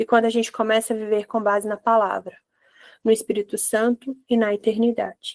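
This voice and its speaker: At a fairly quick pace, a woman talks with a fairly high pitch in a dry, close recording with no echo. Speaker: holistic therapist leading Bible devotional. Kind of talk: devotional teaching. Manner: animated.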